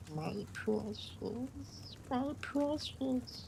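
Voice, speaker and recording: A put-on character voice is used. Loud background noise fills the recording. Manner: creepy.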